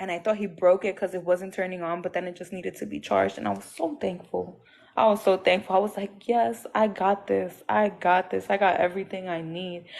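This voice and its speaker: Someone speaks with a Puerto Rican accent against a quiet background. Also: woman. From Puerto Rico (Aguadilla). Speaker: abuse survivor, ex-girlfriend. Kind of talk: testimony. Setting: livestream call.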